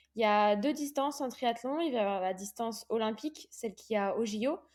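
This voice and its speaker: A woman with a fairly high pitch talks using ordinary pitch variation. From Réunion. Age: 20s. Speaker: professional triathlete. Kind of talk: interview. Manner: hesitant, many fillers.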